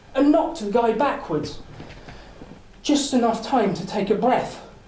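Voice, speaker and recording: Over background music, a man speaks fairly slowly at an extremely high pitch, with long, frequent pauses. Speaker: public speaker. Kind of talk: contest speech, dramatic storytelling. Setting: live audience, speakers club. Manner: energetic, charismatic.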